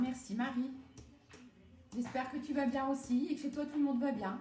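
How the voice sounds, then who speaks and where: A woman talks at a moderate pace and a high pitch, with long, frequent pauses. Noticeable background noise and audible room echo can be heard. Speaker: home cooking demonstrator and product seller. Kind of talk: live-stream cooking demo with chat. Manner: animated.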